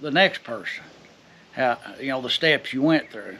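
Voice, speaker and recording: A man speaks with an American accent and ordinary pitch variation. Noticeable background noise is present. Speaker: blacksmith. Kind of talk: casual shop talk. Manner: halting.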